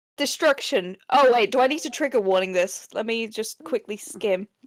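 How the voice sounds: Someone reads in a natural reading voice with lively intonation.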